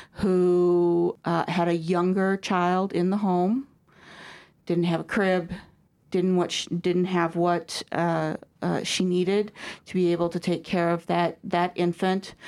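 Speaking in a Midwestern American accent at a very slow pace, this voice stays monotone and flat over a very clean recording with a silent background. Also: woman. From US Midwest, DeKalb, Illinois. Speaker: regional school superintendent. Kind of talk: interview. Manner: hesitant, many fillers.

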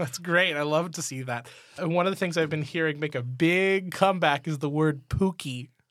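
This man has an unremarkable speaking voice, pitched fairly high, with ordinary pitch variation and a moderate pace. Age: 30s. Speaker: teacher, podcast co-host. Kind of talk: casual chat.

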